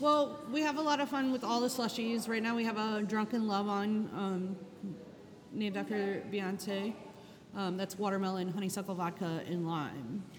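A woman with an American accent at a medium pitch and a moderate pace, with ordinary pitch variation, audible room echo and noticeable background noise. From Charleston, South Carolina. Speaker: pastry chef and restaurant owner. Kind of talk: interview.

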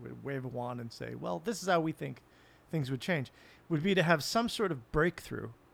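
A normal speaking voice from a man, fairly high in pitch, with lively intonation at a fairly quick pace, on a very clean recording with a silent background. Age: 40s. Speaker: podcast guest, writer. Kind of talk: casual chat.

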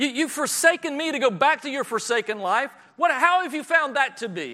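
A man speaks in a raised, projected voice with a bright, sharp tone and lively intonation. The recording is very clean and the background silent. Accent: Southern US. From US South. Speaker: preacher. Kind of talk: sermon. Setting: church.

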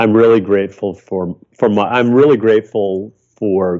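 Ordinary pitch variation from a male speaker. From US Midwest. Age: 60s. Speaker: photographer. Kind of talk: casual interview.

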